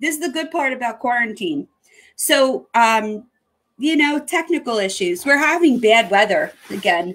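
Against a quiet background, a woman with a high pitch and a bright, sharp tone talks at a fairly slow pace with very wide pitch swings. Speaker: online show host. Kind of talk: casual chat. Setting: video call. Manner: animated. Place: home room.

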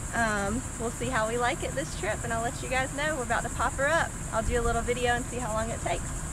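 A woman talks at a very fast pace with ordinary pitch variation, in a dry sound with no echo and noticeable background noise. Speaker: camping vlogger. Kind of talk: casual vlog chat. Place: beach. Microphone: phone near.

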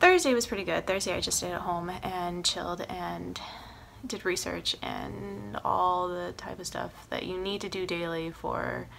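Light background noise sits behind a woman speaking at a fairly slow pace. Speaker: actress vlogger. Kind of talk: casual vlog chat. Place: home room. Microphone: phone near.

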